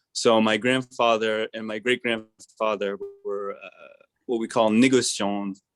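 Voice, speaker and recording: A man with an American accent speaks very slowly at a medium pitch, in a monotone, flat way with big swings in loudness. The sound is dry and close with no echo, and music plays in the background. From France, Alsace. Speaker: wine shop manager. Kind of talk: virtual wine tasting presentation.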